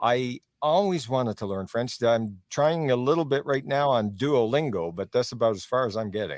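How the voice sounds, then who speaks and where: In a very clean recording with a silent background, a man with an ordinary speaking voice talks at a medium pitch and a moderate pace, using lively intonation and hardly any pauses. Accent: Canadian. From Canada. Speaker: interview host, legal advocacy. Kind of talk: interview.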